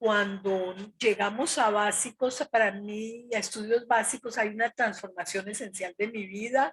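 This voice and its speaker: In a dry, close sound with no echo, a woman with a fairly high pitch and a somewhat breathy voice speaks at a fairly slow pace, with fairly even intonation and hardly any pauses. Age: 70s. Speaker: retired social worker, former student leader. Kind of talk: interview.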